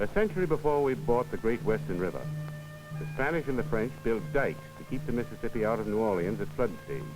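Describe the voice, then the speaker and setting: A man with an American accent talks at a very fast pace, his pitch swinging very widely, with music in the background. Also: medium pitch for a man. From United States. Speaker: documentary narrator. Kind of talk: documentary narration. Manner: rhythmic, poetic.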